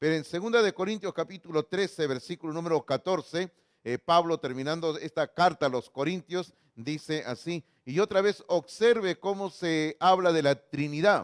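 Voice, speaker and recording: A man talks at a high pitch and a moderate pace with ordinary pitch variation. The recording is very clean, with a silent background and a dry, close sound with no echo. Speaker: pastor. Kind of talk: sermon.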